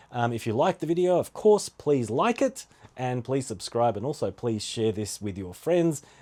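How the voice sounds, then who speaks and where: With an Australian accent, a man speaks at a moderate pace and a medium pitch. His tone is dark and mellow, with very wide pitch swings. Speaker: podcast host. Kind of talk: casual solo podcast talk.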